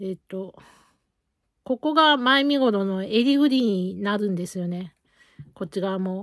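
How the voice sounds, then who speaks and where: Against a quiet background, a woman talks at a fairly slow pace with lively intonation and long, frequent pauses, in a dry sound with no echo. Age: 40s. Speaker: knitting vlogger. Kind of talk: casual chat. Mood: relaxed, chatty. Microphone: phone near.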